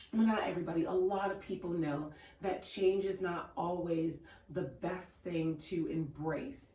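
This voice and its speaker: A woman at a fairly low pitch, ordinary pitch variation and a fairly slow pace, with audible room echo. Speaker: podcast co-host. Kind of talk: casual chat.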